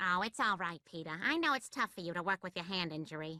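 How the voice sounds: A woman rattles along very fast in a cartoonish character voice. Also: medium pitch for a woman.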